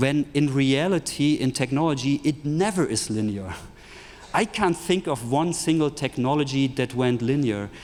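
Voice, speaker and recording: With a German accent, a man talks in a fairly high pitch at a moderate pace, keeping very even loudness and ordinary pitch variation. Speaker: tech entrepreneur, futurist speaker. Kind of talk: conference keynote talk. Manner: animated.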